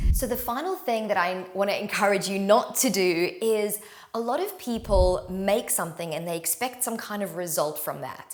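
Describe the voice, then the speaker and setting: A woman talks at a mid-range pitch that varies in the usual way. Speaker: yoga teacher. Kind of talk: casual talk to camera. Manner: loud; fast.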